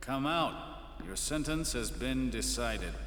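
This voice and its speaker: With clear background noise and a slight echo, a man performs a put-on character voice. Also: moderate pace. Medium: video game. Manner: sly.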